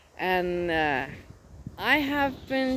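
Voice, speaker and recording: A woman speaks with a Danish accent. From Denmark. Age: 60s. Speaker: nature vlogger. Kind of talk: casual vlog narration. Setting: outdoors in a forest. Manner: relaxed, calm.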